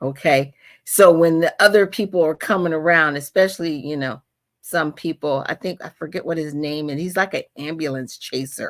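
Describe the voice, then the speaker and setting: A woman with an American accent, a very deep, low pitch and an animated tone, at a moderate pace with ordinary pitch variation and big swings in loudness, on a very clean recording with a silent background. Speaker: livestream host and paralegal activist. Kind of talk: panel discussion on activism.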